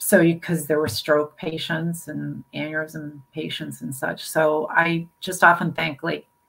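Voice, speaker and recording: A woman speaks at a very deep, low pitch with vocal fry. Her tone is bright and sharp. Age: 60s. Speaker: brain aneurysm survivor and health advocate. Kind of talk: interview. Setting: live video stream.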